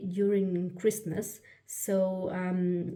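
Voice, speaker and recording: A woman's voice comes across dark and mellow in tone and somewhat breathy. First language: German. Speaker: planner YouTuber. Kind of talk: product flip-through. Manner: halting, many fillers and restarts.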